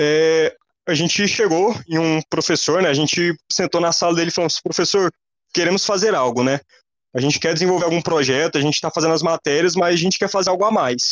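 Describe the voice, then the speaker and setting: In a dry, close recording with no echo and a quiet background, a man with a high pitch speaks at a fairly quick pace with fairly even intonation. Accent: Goiás. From Goiás, Brazil. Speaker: computer engineering student. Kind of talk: casual interview.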